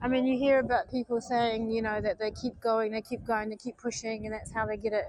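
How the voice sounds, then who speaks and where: A woman with a fairly high voice talks at a fairly quick pace, flat and monotone, with hardly any pauses. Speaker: vlogger. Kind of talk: live stream chat while walking. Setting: outdoors, walking in the street.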